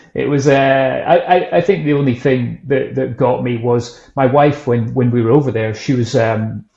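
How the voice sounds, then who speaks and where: Speaking in a Scottish accent, a man keeps a moderate pace with hardly any pauses, a medium pitch and ordinary pitch variation. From Scotland, Edinburgh. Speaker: whisky brand founder and author. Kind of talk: casual interview chat.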